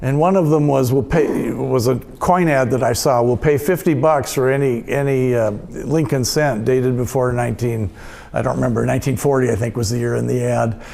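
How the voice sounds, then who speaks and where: With noticeable background noise and audible room echo, a man speaks at a medium pitch and a fairly quick pace, using ordinary pitch variation. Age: 70s. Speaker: retired coin magazine editor, convention speaker. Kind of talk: convention talk with audience Q&A. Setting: stage with audience. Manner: halting, many repeated words.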